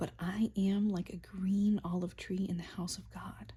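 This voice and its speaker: A woman speaks in a soft-spoken manner. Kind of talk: soft-spoken Bible reading for sleep. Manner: soft-spoken, relaxing.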